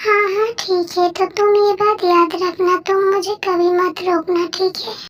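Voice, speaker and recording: At a moderate pace, a woman uses a put-on character voice pitched extremely high, with monotone, flat intonation. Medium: audio drama. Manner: teasing, flirty.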